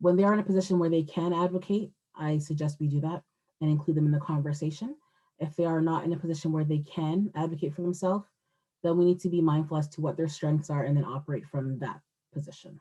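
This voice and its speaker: This woman has a very deep, low voice with a dark, mellow tone and a somewhat breathy quality. She talks very fast with fairly even intonation. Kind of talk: webinar presentation.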